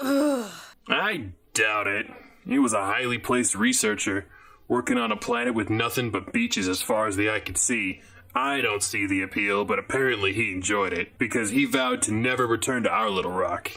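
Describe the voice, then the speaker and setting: A put-on character voice with a grumpy tone moves along at a moderate pace. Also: man, medium pitch for a man. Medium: audio drama. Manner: grumpy, sardonic.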